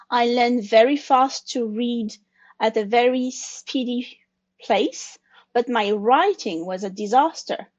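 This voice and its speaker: Over a quiet background, a woman with a French accent speaks at a high pitch and a fairly slow pace, with ordinary pitch variation. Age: 40s. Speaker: consultant sharing her story. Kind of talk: interview conversation. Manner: halting.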